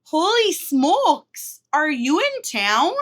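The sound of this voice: Using a put-on character voice, a woman speaks at an extremely high pitch. She goes very slowly, with very wide pitch swings.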